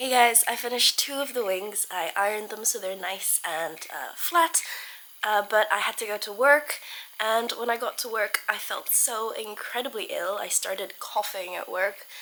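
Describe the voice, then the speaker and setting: Noticeable background noise sits behind a woman's fairly high voice. She moves at a moderate pace with ordinary pitch variation. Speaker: art vlogger. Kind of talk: vlog narration. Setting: at home. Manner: casual, chatty.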